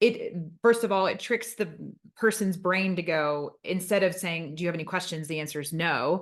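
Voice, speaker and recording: A woman speaks at a moderate pace with medium pitch and ordinary pitch variation. It is an unremarkable speaking voice against a quiet background. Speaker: podcast host. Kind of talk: interview.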